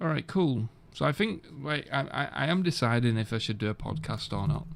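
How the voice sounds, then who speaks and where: Vocal fry marks a man's speech at a fairly quick pace. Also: medium pitch for a man, lively intonation. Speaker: gaming streamer. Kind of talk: casual chat. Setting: home office.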